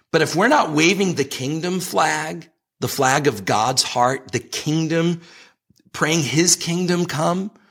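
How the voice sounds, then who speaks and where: A man talks in a normal speaking voice, fairly high in pitch, with ordinary pitch variation. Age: 50s. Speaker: ministry leader. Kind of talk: interview.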